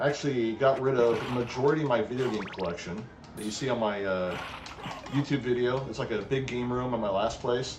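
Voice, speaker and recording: There's audible room echo and noticeable background noise as a man talks at a moderate pace. His pitch is medium, with ordinary pitch variation. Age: 40s. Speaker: gaming streamer. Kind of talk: live stream commentary while gaming. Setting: home live stream. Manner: casual, halting with fillers. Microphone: cheap webcam microphone.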